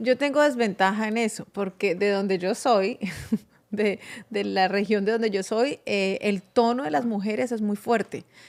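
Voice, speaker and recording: A woman's fairly high voice, fairly slow in pace, with ordinary pitch variation. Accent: strong Colombian. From Colombia, Bucaramanga. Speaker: podcast guest. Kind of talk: casual chat.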